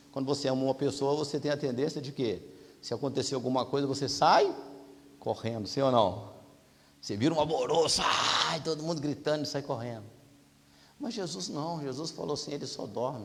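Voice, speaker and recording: A man speaks fairly quickly at a fairly high pitch, with ordinary pitch variation and long, frequent pauses, against noticeable background noise. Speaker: preacher. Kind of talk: sermon.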